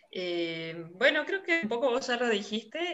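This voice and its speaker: This woman speaks at a fairly slow pace. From Salta, northwestern Argentina. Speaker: poetry student. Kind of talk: casual chat. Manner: hesitant, many fillers.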